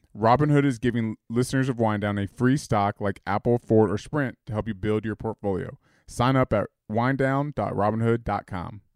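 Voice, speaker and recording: An unremarkable speaking voice from a man at medium pitch, moderate pace and fairly even intonation, with a dry, close sound and no echo. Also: very clean recording, silent background. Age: 30s. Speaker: podcast co-host. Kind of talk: casual chat.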